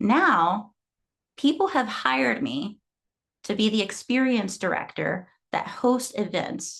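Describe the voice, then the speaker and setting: The voice moves at a very slow pace with vocal fry, very wide pitch swings, and long, frequent pauses. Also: woman, fairly high pitch for a woman. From Guatemala. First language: Spanish. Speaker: fitness trainer. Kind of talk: talk presentation.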